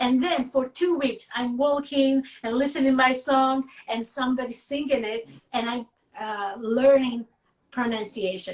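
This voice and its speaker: With a strong Russian accent, a woman talks at a fairly slow pace in a high pitch, using ordinary pitch variation. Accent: thick Russian. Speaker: singer. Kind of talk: interview.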